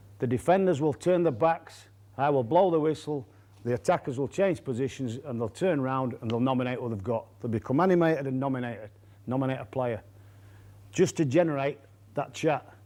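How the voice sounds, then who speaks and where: In a Yorkshire accent, the voice has a dark, mellow tone and moves at a fairly quick pace. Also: man, medium pitch for a man, ordinary pitch variation. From Yorkshire, England. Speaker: rugby coach. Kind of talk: coaching lecture.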